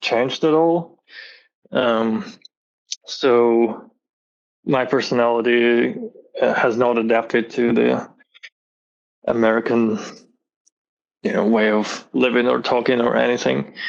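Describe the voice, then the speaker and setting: A man speaks at a medium pitch and a fairly slow pace, with long, frequent pauses and very even loudness. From Azerbaijan (Baku), then Moscow, Russia. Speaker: illustrator and animator. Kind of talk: casual interview chat.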